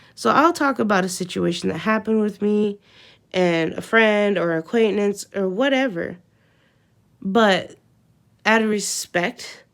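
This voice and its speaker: A woman speaks in an animated tone at medium pitch, with ordinary pitch variation and a fairly slow pace. Long, frequent pauses break up her speech, and the recording is very clean with a silent background. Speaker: vlogger. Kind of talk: casual rant to camera.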